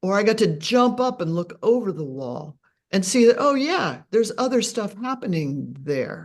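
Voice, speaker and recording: A woman's voice with very wide pitch swings and vocal fry. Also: medium pitch for a woman, moderate pace. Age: 70s. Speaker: author. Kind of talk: casual chat.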